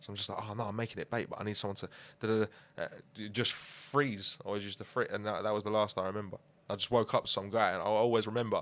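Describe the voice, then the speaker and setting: On a very clean recording with a silent background, a man with a London accent speaks very fast in a fairly low pitch, monotone and flat. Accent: London multicultural English. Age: 20s. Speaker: musician. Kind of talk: casual interview.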